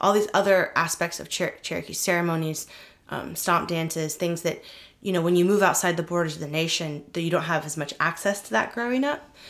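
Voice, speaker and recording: An ordinary speaking voice moves at a fairly quick pace with ordinary pitch variation. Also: woman, fairly low pitch for a woman. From Oklahoma, Missouri and Kansas (US Midwest/Plains). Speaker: attorney and playwright. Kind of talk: interview conversation.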